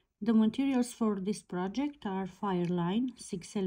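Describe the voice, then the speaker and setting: A woman speaks very slowly in a medium-pitched, somewhat breathy voice with a dark, mellow tone. Her pitch varies in an ordinary way, and the recording is very clean with a silent background. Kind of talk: tutorial.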